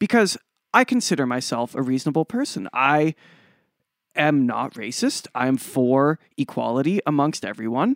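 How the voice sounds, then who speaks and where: In a very clean recording with a silent background, the talking proceeds at a moderate pace. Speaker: podcast co-host. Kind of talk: casual discussion.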